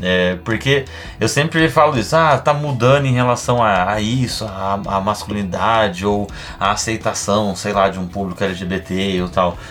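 Over noticeable background noise, a man with a fairly low pitch and ordinary pitch variation speaks at a fairly slow pace. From Brazil, São Paulo. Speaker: stand-up comedian. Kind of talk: casual chat.

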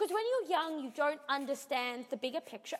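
With an Australian accent, a woman speaks in a high voice whose pitch swings very widely, over noticeable background noise. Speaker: podcast co-host.

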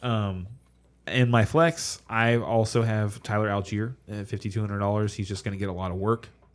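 A man speaks at a moderate pace with fairly low pitch, fairly even intonation and an unremarkable speaking voice. The recording is very clean, with a silent background. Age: 30s. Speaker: fantasy football podcast co-host. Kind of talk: casual chat. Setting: live stream.

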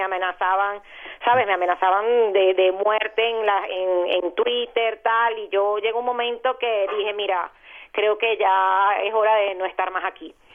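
A woman talks at a moderate pace with a Venezuelan accent. Her intonation stays monotone and flat. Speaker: journalist, radio presenter and YouTuber. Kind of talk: interview. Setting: phone call.

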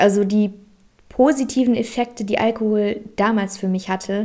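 A woman speaks in a dark, mellow tone at a fairly high pitch. Her delivery is fairly slow and monotone, with flat intonation. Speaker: spiritual podcast host. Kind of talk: solo podcast monologue.

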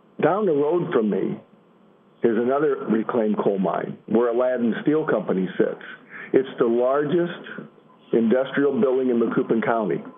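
A man with a plain, everyday voice and an American accent talks at a moderate pace and medium pitch, using lively intonation. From Illinois. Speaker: advocate from mining family. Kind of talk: prepared speech.

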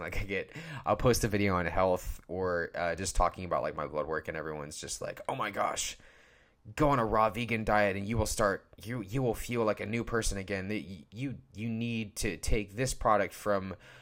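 Fairly low male voice at a moderate pace, ordinary pitch variation, very clean recording with a silent background. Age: 20s. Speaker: podcaster. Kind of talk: casual solo podcast monologue. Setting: podcast recording, audio only. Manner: informal, halting with fillers; casual, candid.

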